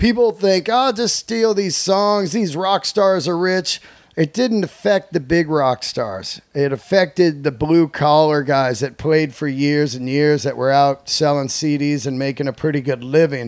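An unremarkable speaking voice talks at a fairly slow pace with lively intonation and hardly any pauses. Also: man, fairly high pitch for a man. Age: 50s. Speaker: comedian. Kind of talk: casual chat.

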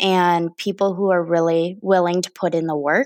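In a very clean recording set against a silent background, a woman is heard. She has a medium pitch and an American accent. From Wisconsin, US Upper Midwest. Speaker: political organizer. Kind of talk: casual interview. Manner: hesitant, frequent filler words.

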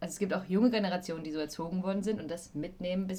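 Somewhat breathy, a woman talks at a very fast pace. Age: 20s. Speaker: actress and voice-over artist, podcast co-host. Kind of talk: casual chat.

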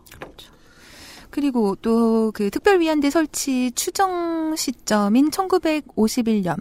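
A woman speaks very slowly at a high pitch with very wide pitch swings. The sound is dry and close, without echo. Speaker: Korean studies scholar. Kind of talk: explanatory discussion.

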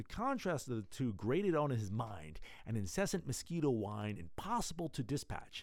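A natural voice reading aloud

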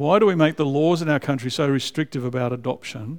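A man with an Australian accent and a fairly high pitch, on a very clean recording with a silent background. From Australia (raised in Canberra). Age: 60s. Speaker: visiting preacher. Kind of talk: sermon. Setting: church.

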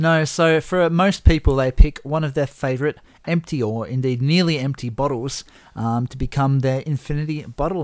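At a moderate pace, a man speaks in an unremarkable speaking voice, fairly high in pitch with ordinary pitch variation. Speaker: podcast host. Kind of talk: casual banter over drinks. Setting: indoors in chairs, with whiskey.

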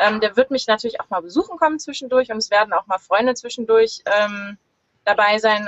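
Ordinary pitch variation and a fairly quick pace from a woman with a medium-pitched voice. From northern Germany, Lüneburg near Hamburg. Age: 30s. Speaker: solo sailor. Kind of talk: interview. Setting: video call from sailboat in marina. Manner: hesitant, many fillers.

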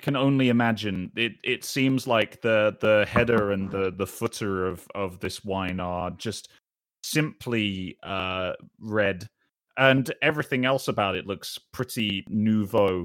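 A man with a British accent and fairly low pitch at a fairly slow pace, in a dry, close sound with no echo and a very clean recording against a silent background. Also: ordinary pitch variation. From Britain. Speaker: video producer and streamer. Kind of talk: role-playing game session. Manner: animated.

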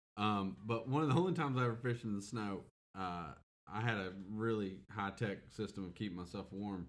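A man speaks with a normal speaking voice. His pace is fairly quick, with ordinary pitch variation. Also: fairly low pitch for a man. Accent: American. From US South. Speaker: podcast co-host. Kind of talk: casual chat.

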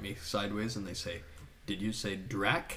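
A man with an American accent speaks at a moderate pace, his fairly low voice carrying a bright, sharp tone. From United States. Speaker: visual artist. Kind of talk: casual interview chat.

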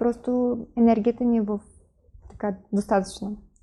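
A woman is talking here. She has a high-pitched voice. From Ukraine, Kyiv. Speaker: influencer and entrepreneur. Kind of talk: interview.

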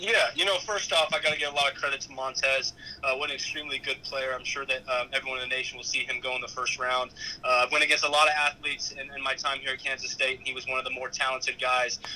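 A man talks at a very fast clip. Background noise is noticeable throughout. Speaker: college football player. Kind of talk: interview.

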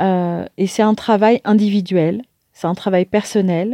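A woman speaks at a very slow pace with a medium pitch and a dark, mellow tone. The sound is dry and close, with no echo. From France, Paris (Martinican family). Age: 50s. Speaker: coach and motivational speaker. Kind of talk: monologue pitch to audience. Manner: hesitant with filler words.

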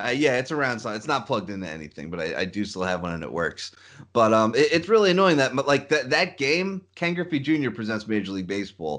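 The voice shows vocal fry and very wide pitch swings at a very fast pace. The background is quiet. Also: man, medium pitch for a man. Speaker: podcast host. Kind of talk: casual chat.

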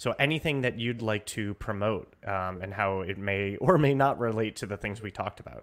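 Fairly quick and fairly low-pitched, a man speaks in an ordinary speaking voice with ordinary pitch variation. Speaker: podcast host. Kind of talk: casual chat. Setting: conference.

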